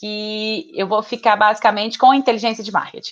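A woman with a fairly high pitch talks over a quiet background. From Minas Gerais, Brazil (Betim, Belo Horizonte area). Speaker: marketing professional. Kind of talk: casual interview conversation.

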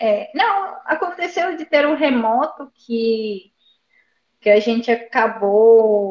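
Fairly high in pitch, a woman speaks at a very slow pace. Her intonation is lively. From Buenos Aires, Argentina. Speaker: service design consultant. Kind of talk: interview conversation. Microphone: phone with headphones.

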